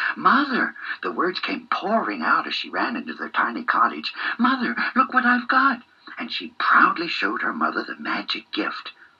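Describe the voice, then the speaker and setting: Noticeable background noise accompanies a man talking. He keeps a moderate pace in an animated tone. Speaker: bedtime storyteller. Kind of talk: fairy-tale bedtime narration, read aloud. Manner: animated, changes voice for characters and lines of dialogue.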